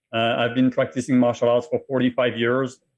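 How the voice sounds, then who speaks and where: A man speaks with a French accent. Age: 50s. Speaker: martial artist and cancer survivor. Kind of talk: interview.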